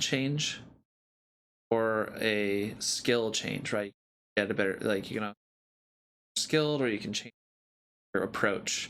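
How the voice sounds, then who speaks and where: The speaker is male. He talks at a rather unhurried pace. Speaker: talk show co-host. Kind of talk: casual chat. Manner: loud.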